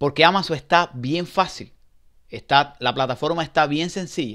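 Here a man talks at a moderate pace with a fairly high pitch. His pitch varies in an ordinary way, and the background is quiet. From Cuba. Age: 40s. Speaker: online seller. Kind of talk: testimony; testimonial, casual first-person talk. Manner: halting. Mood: hopeful, encouraging. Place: home room. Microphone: headset.

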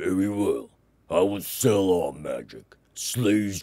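Heard here is an unforced reading voice.

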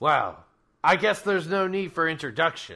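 A man's put-on character voice, high in pitch, against a quiet background. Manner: menacing, theatrical.

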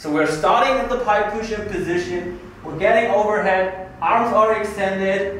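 A man with a high voice speaks, and room echo is audible. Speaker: fitness coach. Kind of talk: tutorial. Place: gym.

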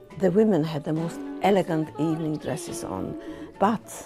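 Against clear background music, a woman with a fairly low voice speaks with lively intonation. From Hungary. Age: old. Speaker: Holocaust survivor, former singer. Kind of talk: interview answer. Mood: emotional, reflective storytelling. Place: home room.

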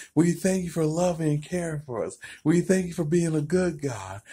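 A dark, mellow man's voice at a moderate pace, over a quiet background. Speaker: preacher. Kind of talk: spoken prayer. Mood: warm, joyful. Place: home room. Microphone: phone near.

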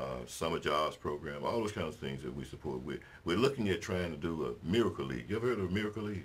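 A man speaks at a very fast pace with hardly any pauses. His very deep, low voice carries vocal fry and very wide pitch swings. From US South, Mississippi. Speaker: city mayor. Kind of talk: interview. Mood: warm, relaxed. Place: studio.

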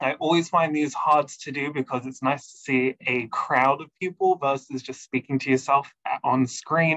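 A man's bright, sharp tone against a quiet background. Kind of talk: webinar presentation. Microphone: video call.

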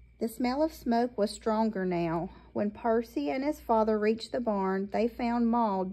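With ordinary pitch variation, the recording is of reading aloud in a natural voice.

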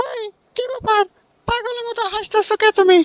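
In a cartoonish character voice, a woman squeaks at an extremely high pitch with fairly even intonation, talking fairly quickly in a dry, close sound with no echo. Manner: scolding, sarcastic.

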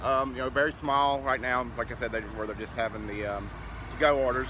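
A man talks very fast in a dry sound with no echo while noticeable background noise plays. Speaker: food vlogger. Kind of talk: casual vlog chat. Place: street. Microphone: phone near.

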